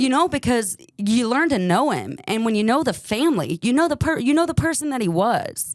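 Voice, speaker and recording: The voice is loud and animated, with very wide pitch swings. It moves at a fairly quick pace with hardly any pauses. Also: woman, high pitch for a woman. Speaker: true crime podcast host. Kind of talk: casual interview chat.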